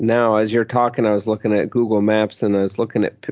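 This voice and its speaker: A man talks at a fairly quick pace in a normal speaking voice. His pitch is medium. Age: 30s. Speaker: podcast host. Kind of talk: interview conversation.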